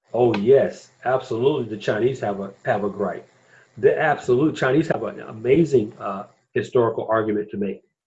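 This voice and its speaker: Somewhat breathy and with an American accent, the voice moves at a moderate pace with ordinary pitch variation. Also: man, medium pitch for a man. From US South, Atlanta. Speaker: podcast host and blogger. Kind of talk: podcast discussion.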